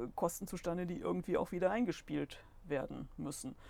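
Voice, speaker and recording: Vocal fry and a fairly low pitch from a woman, plus ordinary pitch variation. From Solingen-Ohligs, Rhineland, Germany. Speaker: goldsmith and shop owner, local business association member. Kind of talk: casual interview.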